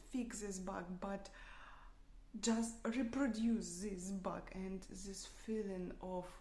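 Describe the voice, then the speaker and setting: A woman speaks very slowly at a medium pitch, her tone dark and mellow and somewhat breathy. Audible echo fills the room. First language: not English. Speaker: software developer practicing English. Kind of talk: unscripted speaking practice monologue. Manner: halting, many fillers and restarts.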